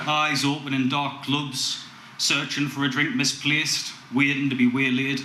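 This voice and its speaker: Here a man speaks at a fairly high pitch. There is noticeable background noise. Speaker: spoken word poet. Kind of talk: spoken word poetry performance. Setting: live open mic gig.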